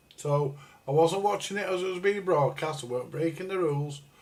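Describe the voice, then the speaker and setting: The speaker has a northern English accent. The pace is moderate. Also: man. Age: 60s. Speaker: livestreamer. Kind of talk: casual chat. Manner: halting, repetitive.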